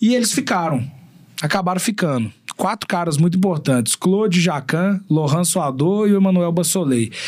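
A man's high-pitched voice with lively intonation, very even loudness and a moderate pace. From Belo Horizonte, Minas Gerais, Brazil. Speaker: chef. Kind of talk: casual chat.

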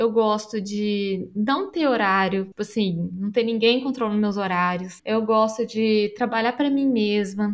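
A woman with a plain, everyday voice speaks at a fairly high pitch and a fairly slow pace. She hardly pauses, against a quiet background. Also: fairly even intonation. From Brazil, Belo Horizonte (Minas Gerais). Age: 30s. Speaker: pet care professional. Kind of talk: casual interview chat.

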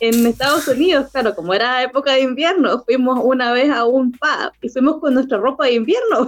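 With a high pitch and lively intonation, a woman speaks at a fairly slow pace. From southern Chile, La Unión. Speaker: podcast guest. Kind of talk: casual interview.

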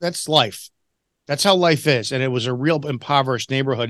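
A man with a Chicago accent, lively intonation and a fairly quick pace against a quiet background. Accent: Chicago American. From Chicago, US. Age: 40s. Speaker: retired police officer and author. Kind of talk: casual interview conversation.

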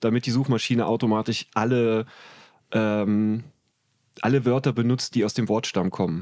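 Medium-pitched male voice at a moderate pace, fairly even intonation, very even loudness, long and frequent pauses, on a very clean recording with a silent background. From Germany, Trier. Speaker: comedian and comedy writer. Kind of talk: casual chat.

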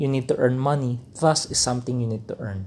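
The man speaks at a medium pitch, somewhat breathy, with ordinary pitch variation. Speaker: podcast host. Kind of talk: solo talk, informal lecture.

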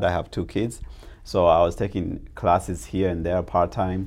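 Vocal fry in a very deep, low male voice, delivered at a moderate pace. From East Africa, refugee in Tanzania, raised in Arizona from 14. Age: 30s. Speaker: real estate agent, former hospital nurse aide. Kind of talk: interview. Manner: halting, many repeats and fillers.

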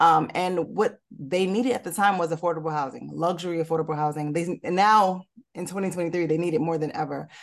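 A woman talks in a normal speaking voice with an American accent. Her pitch is fairly low and her pace fairly quick. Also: ordinary pitch variation. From Newark, New Jersey. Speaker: real estate developer. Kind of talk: interview.

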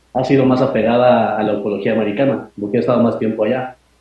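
A man speaks in a plain, everyday voice with fairly even intonation. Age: 30s. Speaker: UFO researcher and lawyer. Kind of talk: interview.

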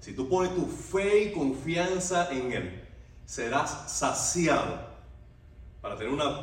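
Over noticeable background noise and audible room echo, a man with a fairly high pitch speaks very slowly with lively intonation. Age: 40s. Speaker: pastor. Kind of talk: sermon.

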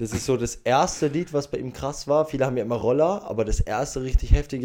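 Speaking at a very fast pace with hardly any pauses, a man of medium pitch has a dark, mellow tone. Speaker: podcast co-host. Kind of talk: casual chat. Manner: calm.

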